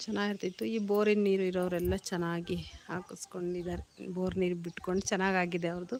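Fairly even intonation in a normal speaking voice. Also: woman, medium pitch for a woman. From Karnataka village. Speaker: lifestyle vlogger. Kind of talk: casual live vlog walkthrough. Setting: outdoors.

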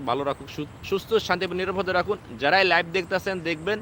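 The man's voice is high for a man, with a bright, sharp tone and fairly even intonation. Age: 20s. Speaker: political commentator on YouTube. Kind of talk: live-stream political monologue. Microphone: no microphone, speaking into device.

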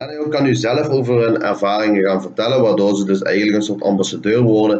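This man has a fairly low pitch and lively intonation. He talks with a Limburg accent. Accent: Limburgish-tinged Dutch. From Hoensbroek, Limburg, Netherlands. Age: 20s. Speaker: communication student presenting thesis. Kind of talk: presentation of project findings. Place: home room. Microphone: webcam.

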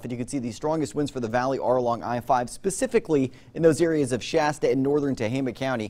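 Lively in intonation, a man's speech moves at a very fast clip. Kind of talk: weather forecast presentation. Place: studio. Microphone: lapel.

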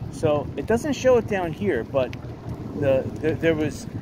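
Recorded dry with no echo amid noticeable background noise, a man talks at a moderate pace. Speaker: cyclist vlogger. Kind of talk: casual vlog chat. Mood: rueful about storm damage. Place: bicycle. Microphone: phone near.

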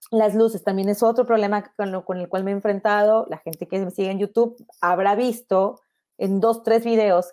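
Over a quiet background, a woman talks at a fairly quick pace with fairly even intonation and a dark, mellow tone. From Mexico, Monterrey; Nuevo León, Mexico. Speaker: photographer. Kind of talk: online lecture. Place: home room. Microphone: earbuds.

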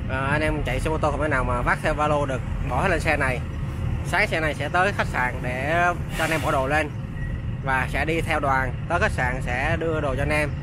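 Amid noticeable background noise, a man speaks at a moderate pace in a dry sound with no echo. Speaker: motorcycle escort rider vlogger. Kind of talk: casual vlog chat. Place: motorbike. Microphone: helmet.

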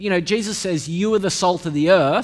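A man's voice over a quiet background. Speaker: preacher. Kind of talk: sermon. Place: church. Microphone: podium.

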